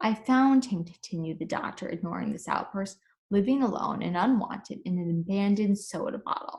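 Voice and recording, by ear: Against a quiet background, the speaker is reading aloud in a natural voice.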